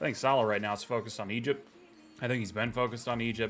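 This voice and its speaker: Music plays behind a man with a fairly low voice who talks very fast. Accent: American. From United States. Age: 30s. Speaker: football fan vlogger. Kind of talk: casual rant. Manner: animated.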